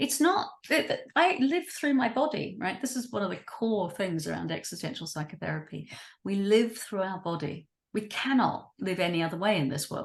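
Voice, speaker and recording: Somewhat breathy female voice with very wide pitch swings. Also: medium pitch for a woman, moderate pace. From New Zealand. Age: 60s. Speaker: writer and creative activist. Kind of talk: interview. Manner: animated.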